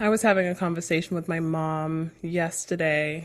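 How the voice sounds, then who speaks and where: Against a silent background in a very clean recording, a woman talks at a moderate pace with a fairly low pitch. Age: 30s. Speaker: podcast co-host. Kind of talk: casual chat.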